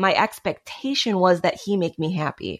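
Here is a woman with an ordinary speaking voice. Her pitch is medium with ordinary variation, and her pace is moderate. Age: 30s. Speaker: cult survivor. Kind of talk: casual chat.

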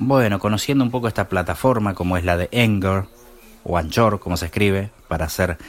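Ordinary pitch variation and a moderate pace in a man's fairly low voice. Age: 40s. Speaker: podcast host, tech tutorials for blind users. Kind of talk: casual solo podcast with tutorials and gameplay commentary. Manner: halting, many fillers.

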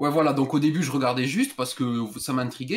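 Words rush out very fast from a man whose medium pitch shows ordinary variation. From southern France. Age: 20s. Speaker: caller telling a story. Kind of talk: phone-in storytelling.

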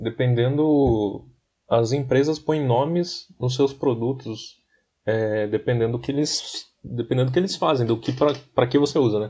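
Somewhat breathy man's voice, dark and mellow in tone, medium-pitched, with ordinary pitch variation and a fairly slow pace. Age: 20s. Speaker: podcast co-host. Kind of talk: casual chat.

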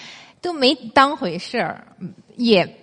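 A woman talks in a fairly high pitch, swinging very widely up and down. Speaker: traditional Chinese medicine lecturer. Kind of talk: lecture. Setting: stage with audience.

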